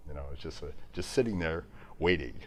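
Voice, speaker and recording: In a dark, mellow tone with some vocal fry, a man talks at a fairly quick pace with lively intonation. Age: 70s. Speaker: piano company executive. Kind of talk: informal talk to live audience. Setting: live event on a boat with audience.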